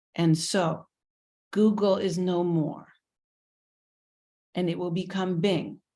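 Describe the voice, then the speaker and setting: In an American accent, a woman speaks at a very slow pace. Her pitch is medium, and the recording is very clean with a silent background. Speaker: university teaching center director. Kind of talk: talk to children. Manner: simple, engaging.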